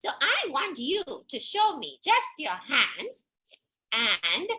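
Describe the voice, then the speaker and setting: A woman's raised, projected voice rings with a bright, sharp tone, pitched extremely high and moving through very wide pitch swings. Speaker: storyteller. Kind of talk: children's workshop. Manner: upbeat, animated.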